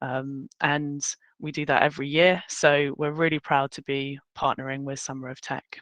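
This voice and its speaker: A woman with a British accent speaks at a moderate pace in a very deep, low pitch and a monotone, flat intonation. The sound is dry and close with no echo, and her loudness swings widely. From United Kingdom (military family, lived in many countries). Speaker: workshop host, recruiter. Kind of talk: online workshop presentation. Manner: casual, chatty.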